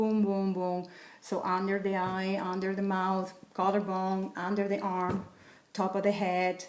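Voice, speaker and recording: A woman speaks with a Spanish accent at a moderate pace. Her pitch is medium. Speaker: wellness coach. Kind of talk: tutorial.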